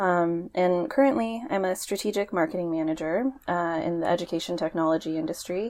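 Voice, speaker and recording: A woman with an American accent speaks in an ordinary speaking voice at a fairly low pitch, with ordinary pitch variation, a fairly quick pace and hardly any pauses, against a quiet background. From Portland, Oregon. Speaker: podcast co-host, marketing manager. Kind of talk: casual chat.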